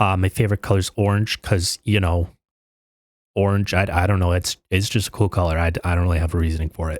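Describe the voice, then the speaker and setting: A quiet man with a very deep, low pitch talks at a very fast pace with fairly even intonation. The sound is dry and close with no echo, on a very clean recording with a silent background. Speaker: gaming youtuber. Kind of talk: personal vlog monologue. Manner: quiet, stuttering; halting.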